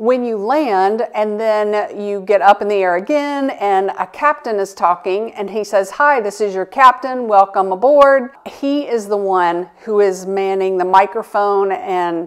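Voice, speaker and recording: Against a quiet background, a woman talks at a fairly slow pace. Her pitch varies in an ordinary way. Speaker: travel vlogger. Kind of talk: casual vlog chat. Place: home room.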